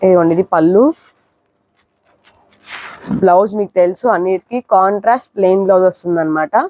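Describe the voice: A dark, mellow tone at a fairly quick pace, with a dry, close sound and no echo. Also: woman.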